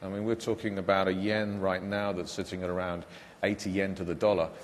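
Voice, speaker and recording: A man speaks with a British accent at a fairly quick pace. His voice sits fairly low in pitch. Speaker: car company executive. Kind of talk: panel discussion. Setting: conference stage, webcast. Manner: halting, many fillers.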